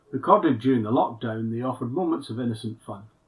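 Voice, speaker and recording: The man sounds somewhat breathy. His pitch variation is ordinary. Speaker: minister. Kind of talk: sermon.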